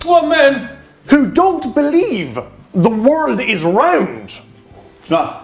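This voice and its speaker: Over light background noise, a man speaks at a very slow pace in an extremely high voice with very wide pitch swings. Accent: Irish. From Ireland. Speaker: YouTuber comedian. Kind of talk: casual banter. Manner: animated, jokey. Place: home room.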